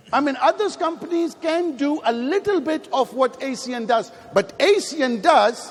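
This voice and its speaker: On a recording with noticeable background noise, a man speaks in an animated tone at an extremely high pitch. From Pakistan. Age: 50s. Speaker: network marketing leader. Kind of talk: motivational speech. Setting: stage with audience.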